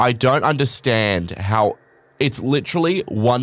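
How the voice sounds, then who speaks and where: Ordinary pitch variation from a man speaking in an Australian accent. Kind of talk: casual chat. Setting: studio. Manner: casual, swearing, rambling.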